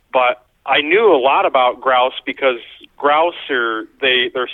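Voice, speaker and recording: A man speaks at a medium pitch with a Pennsylvania accent. His pace is fairly slow. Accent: Pennsylvania American. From northern Pennsylvania. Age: 30s. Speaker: deer hunter. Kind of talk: casual interview.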